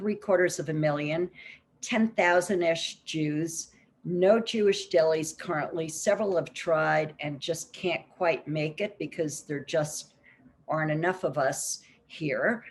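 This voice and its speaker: Speaking at a fairly slow pace, a woman with an American accent uses a fairly low pitch and ordinary pitch variation. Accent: New York accent, comes out when talking food. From New York. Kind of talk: conference presentation.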